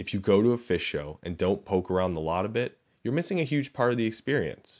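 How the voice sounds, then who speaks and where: Lively intonation and a fairly quick pace, with a Chicago accent. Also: man. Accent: Midwestern American (Chicago). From Chicago, US Midwest. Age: 30s. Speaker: podcast host. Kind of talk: reading aloud a personal essay.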